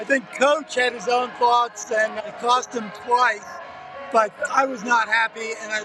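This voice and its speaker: A man's raised, projected voice at an extremely high pitch, fairly even intonation and a moderate pace, with music in the background. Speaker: fan channel host. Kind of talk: sideline interview. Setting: outdoors at stadium sidelines.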